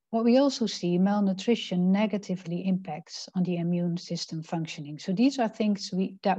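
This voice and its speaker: Against a quiet background with a dry sound and no echo, a woman speaks at a fairly quick pace, somewhat breathy and dark, mellow in tone, with ordinary pitch variation. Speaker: presenter. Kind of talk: presentation. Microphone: video call.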